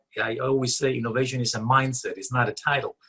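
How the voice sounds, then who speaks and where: A man's very fast, medium-pitched speech with a bright, sharp tone and a non-native accent. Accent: funny accent, foreign. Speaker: author and leadership consultant. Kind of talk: interview. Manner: hesitant, many fillers.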